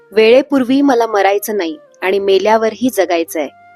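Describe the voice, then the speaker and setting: Over music in the background, a woman speaks with lively intonation in a dry, close sound with no echo. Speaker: voice artist. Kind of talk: spoken tribute introduction.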